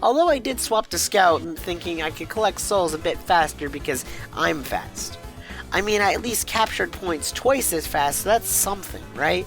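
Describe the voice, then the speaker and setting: The speaker talks at a moderate pace with music in the background. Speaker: gaming YouTuber. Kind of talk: gaming video narration.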